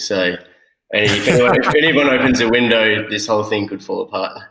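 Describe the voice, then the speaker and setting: Talking at a very fast pace, a man uses a fairly low pitch and a bright, sharp tone. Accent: Australian. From Australia (Sydney). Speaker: producer. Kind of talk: casual chat. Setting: remote call from a makeshift studio on location.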